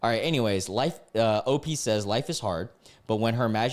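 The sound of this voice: The clip features an unforced reading voice.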